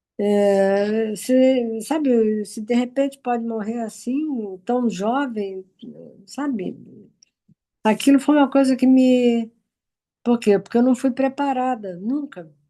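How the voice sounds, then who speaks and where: A woman's high voice at a very slow pace, with ordinary pitch variation and long, frequent pauses. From Brazil, Rio de Janeiro. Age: 80s+. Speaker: participant in a group conversation. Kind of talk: personal sharing in online group talk. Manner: halting, with many repetitions.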